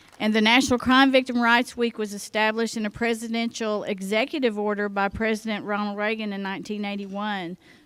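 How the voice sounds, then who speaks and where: A woman with a Southern US accent speaks very fast at a fairly high pitch with fairly even intonation. The recording is very clean, the background silent. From Oklahoma. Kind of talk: conference keynote speech. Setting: conference luncheon with audience.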